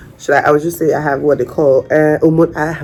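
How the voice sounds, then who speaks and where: Over noticeable background noise, a woman speaks in a Nigerian accent. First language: Nigerian Pidgin. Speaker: vlogger. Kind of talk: personal story vlog. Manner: halting.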